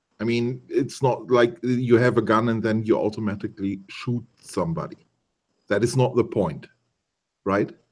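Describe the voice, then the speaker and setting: In a German accent, a man talks at a moderate pace and medium pitch, with ordinary pitch variation. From Germany. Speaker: YouTuber joining stream. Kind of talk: casual debate.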